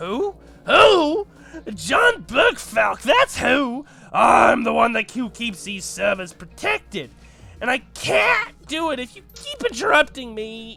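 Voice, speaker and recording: A man's raised, projected put-on character voice, extremely high in pitch, at a fairly slow pace over music in the background. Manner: indignant, shouting.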